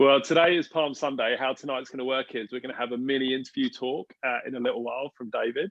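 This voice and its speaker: A fairly quick pace in an English accent. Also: man. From England. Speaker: church leader hosting online gathering. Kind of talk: casual livestream hosting. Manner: animated.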